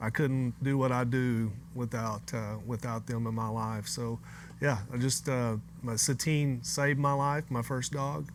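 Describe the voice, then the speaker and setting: A man with an American accent speaks at a fairly slow pace in an unremarkable speaking voice, his pitch medium and his intonation fairly even. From US South, northeast Arkansas. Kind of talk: casual chat. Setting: studio with live audience.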